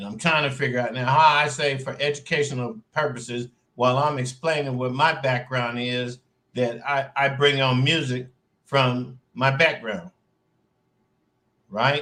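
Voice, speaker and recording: Speaking with an American accent, a man uses a medium pitch and a bright, sharp tone. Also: fairly slow pace. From US Midwest, St. Louis. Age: 60s. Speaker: online show host and music promoter. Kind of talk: casual livestream monologue. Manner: conversational, loose.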